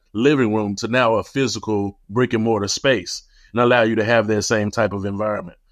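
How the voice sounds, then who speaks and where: A man speaks very fast with a Memphis accent. His pitch is medium and his intonation fairly even. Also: quiet background. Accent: Southern US (Memphis). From US South, Memphis, Tennessee. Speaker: tech entrepreneur, company founder. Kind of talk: interview.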